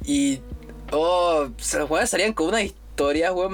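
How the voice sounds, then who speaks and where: Music plays in the background as the speaker, with a Chilean accent, uses an animated tone and lively intonation. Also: man. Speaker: podcast host, university student. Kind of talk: casual chat. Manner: animated, laughing.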